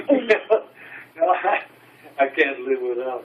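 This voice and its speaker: A man's fairly high voice rises and falls in very wide swings against noticeable background noise. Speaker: WWII veteran. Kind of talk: storytelling to family.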